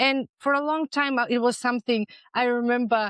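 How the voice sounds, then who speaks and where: Against a quiet background, a woman's fairly even intonation comes across in a dry, close sound with no echo. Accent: European. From North Macedonia. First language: Macedonian. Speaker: dental practice consultant. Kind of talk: interview.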